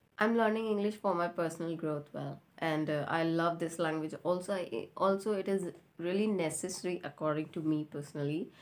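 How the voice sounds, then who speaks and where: A woman's fairly quick speech with an Indian accent and hardly any pauses, on a very clean recording with a silent background. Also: fairly low pitch for a woman, ordinary pitch variation. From India, Rajasthan. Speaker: YouTuber and English learner. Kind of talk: casual chat; channel intro.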